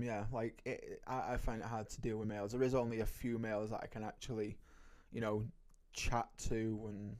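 A man of medium pitch speaks with a British accent at a moderate pace. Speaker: podcast co-host. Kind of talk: casual chat.

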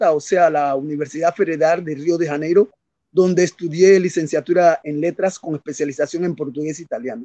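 A high-pitched man's voice, dark and mellow in tone, with fairly even intonation and a dry, close sound with no echo. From Panama. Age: 60s. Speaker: poet. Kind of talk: interview. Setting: video call. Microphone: connection dropped.

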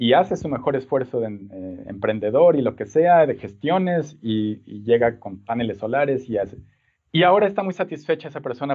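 At a fairly quick pace, a man talks with lively intonation at a medium pitch. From Mexico City. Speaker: design professor and researcher. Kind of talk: interview. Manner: halting, many repeated words and fillers.

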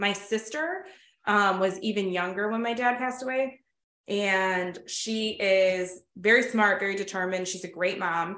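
In an American accent, a woman speaks at a medium pitch with ordinary pitch variation in an unremarkable speaking voice. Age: 30s. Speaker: school principal and podcast host. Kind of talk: casual chat, interview.

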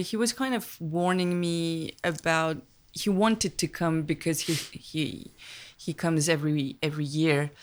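On a very clean recording with a silent background, a woman with a French accent speaks at a fairly low pitch. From Paris, France, of Vietnamese immigrant parents. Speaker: film director. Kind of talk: casual interview conversation. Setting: small temple in a rural valley.

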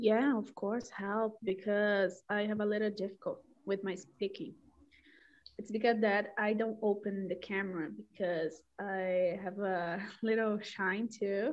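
A woman speaks with a Brazilian accent at a medium pitch. Her pace is fairly slow and her intonation fairly even. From Belo Horizonte, Minas Gerais, Brazil. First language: Portuguese. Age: 20s. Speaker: language learner. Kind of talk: casual group chat. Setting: video call, breakout room.

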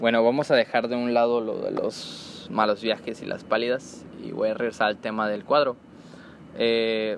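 This man speaks at a medium pitch and a fairly slow pace, his intonation monotone and flat. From Mexico, Comalcalco, Tabasco. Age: 20s. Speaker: podcast host, security guard. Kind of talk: casual monologue. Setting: recording at workplace. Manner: stuttering, halting. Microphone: poor audio quality.

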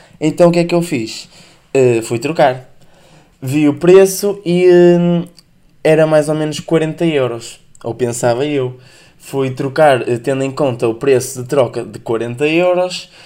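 Speaking very slowly, a man uses a fairly high pitch with ordinary pitch variation. His tone is dark and mellow. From northern Portugal. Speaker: podcast host. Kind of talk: casual solo podcast monologue.

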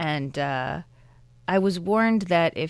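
A woman speaks with an American accent in a normal speaking voice, her pitch fairly low with ordinary variation. The recording is very clean, with a silent background. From US Midwest, suburban Chicago. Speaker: documentary filmmaker. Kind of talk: interview. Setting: studio.

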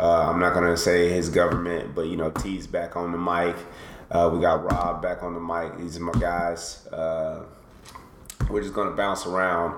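The voice has monotone, flat intonation at a moderate pace. Noticeable background noise and audible room echo surround it. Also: man, very deep, low pitch for a man. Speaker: podcast host. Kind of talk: casual chat.

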